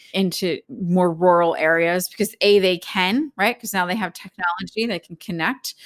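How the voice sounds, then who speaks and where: A woman with an American accent uses a normal speaking voice at medium pitch, keeping a moderate pace and fairly even intonation in a dry, close sound with no echo. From Philadelphia, US. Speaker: spiritual teacher. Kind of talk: casual interview chat.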